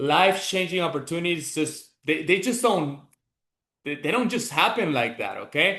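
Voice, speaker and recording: A man speaks in a high pitch with a Venezuelan accent and a bright, sharp tone. His intonation is lively, his pace moderate, and the room echo is audible. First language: Spanish. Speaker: business mentor. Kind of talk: motivational talk. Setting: online group call.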